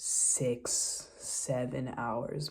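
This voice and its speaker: A woman speaks. There is audible echo from the room. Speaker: exchange student vlogger. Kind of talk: casual vlog. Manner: filler-heavy, rambling.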